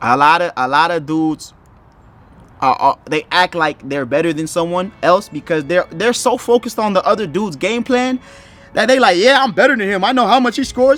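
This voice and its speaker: A high-pitched man, animated and fairly quick, with very wide pitch swings and music in the background. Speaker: YouTuber giving life advice. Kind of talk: casual advice monologue. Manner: stumbling, repeats words.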